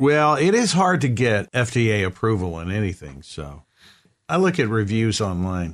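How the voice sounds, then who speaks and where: In a very clean recording with a silent background, a man with a Southern US accent speaks at a moderate pace in a fairly low pitch, his pitch swinging very widely. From US South. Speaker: radio show co-host. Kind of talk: casual comedic banter.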